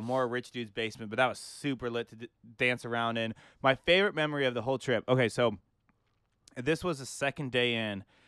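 In a very clean recording with a silent background and a dry, close sound with no echo, a man of medium pitch speaks with an American accent. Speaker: podcast co-host. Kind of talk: casual banter. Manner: animated, excitable.

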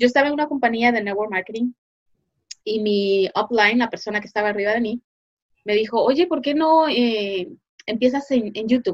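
Her pace runs fairly quick. This woman's voice sits high, with lively intonation. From Guatemala. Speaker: online business consultant. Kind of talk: interview.

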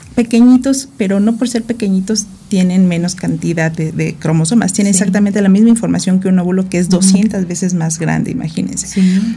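At a fairly quick pace, a woman with a medium-pitched, somewhat breathy voice and a dark, mellow tone speaks with ordinary pitch variation. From Mexico, Morelos (born in Guerrero). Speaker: gynecologist and reproductive biologist. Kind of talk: radio interview, medical explanation.

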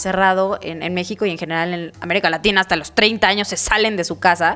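A woman with a Mexican accent and ordinary pitch variation. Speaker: podcast host. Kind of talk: casual interview chat. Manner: animated.

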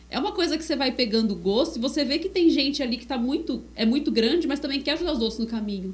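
Hardly any pauses interrupt a woman's very fast pace, her high pitch carrying lively intonation. Noticeable background noise runs behind her. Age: 30s. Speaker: podcast co-host, digital marketer. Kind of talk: casual chat.

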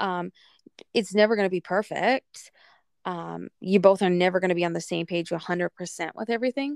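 In a very clean recording with a silent background, a woman speaks in an ordinary speaking voice at a medium pitch. The sound is dry and close with no echo, her pace moderate and her pitch variation ordinary. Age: 30s. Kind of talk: casual chat.

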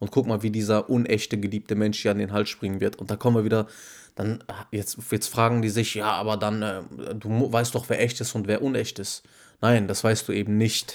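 A man's fairly low voice at a moderate pace, monotone and flat, on a very clean recording with a silent background. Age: 20s. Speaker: podcast co-host. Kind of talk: casual chat.

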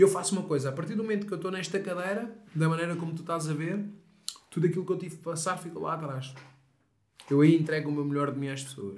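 Very fast speech from a man in a European Portuguese accent, high in pitch with ordinary pitch variation, broken by long, frequent pauses, with big swings in loudness and audible room echo. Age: 30s. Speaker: mental coach. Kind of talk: casual chat.

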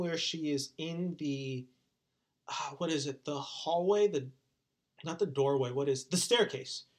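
Speaking at a moderate pace with ordinary pitch variation, this voice has a Californian accent. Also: man. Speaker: podcast host. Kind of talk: casual chat.

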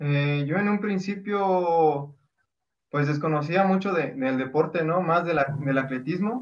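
Very slowly and at a very even loudness, a man with a fairly high pitch speaks with ordinary pitch variation. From Oaxaca, Mexico. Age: 20s. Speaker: mountain runner. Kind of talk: interview.

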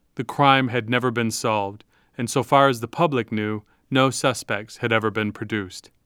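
The recording is very clean, and the background is silent. A man with a plain, everyday voice talks at a medium pitch and moderate speed, his pitch varying normally. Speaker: podcast narrator. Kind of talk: scripted narration.

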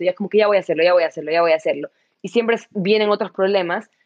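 This woman talks at a very fast pace. Her pitch sits in the medium range with ordinary variation. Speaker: entrepreneur. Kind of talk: interview.

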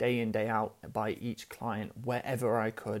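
A man's normal speaking voice at medium pitch and moderate pace. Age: 30s. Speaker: podcast host and business founder. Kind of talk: solo monologue storytelling. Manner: casual, many fillers.

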